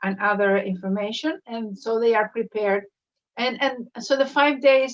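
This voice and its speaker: A woman speaks with a Spanish accent at a fairly high pitch. Her pace is moderate and her pitch variation ordinary. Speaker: professor, school director. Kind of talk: interview. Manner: halting.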